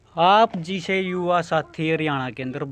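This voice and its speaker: In a Haryanvi accent, a man talks at a very slow pace with ordinary pitch variation, recorded with a dry sound with no echo over light background noise. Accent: Haryanvi-accented Hindi. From Haryana, India. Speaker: local news reporter. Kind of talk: field interview. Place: home room. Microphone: handheld.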